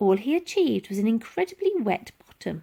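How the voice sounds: At a moderate pace, a woman speaks at a fairly high pitch in a dark, mellow tone with a slightly husky edge, vocal fry, and big pitch swings.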